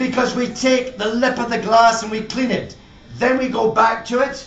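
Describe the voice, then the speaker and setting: An extremely high-pitched man's voice at a moderate pace, monotone and flat in intonation, over noticeable background noise. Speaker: master whisky blender. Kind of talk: humorous live talk at a whisky show.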